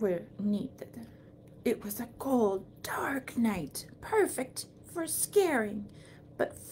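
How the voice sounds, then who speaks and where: Over clear background noise, a fairly high put-on character voice speaks very slowly. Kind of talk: spooky storytelling.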